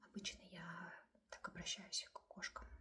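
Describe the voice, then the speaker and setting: A woman speaks at a very slow pace. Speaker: ASMR creator. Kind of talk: ASMR storytime and rambling to camera. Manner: soft, repetitive, cooing.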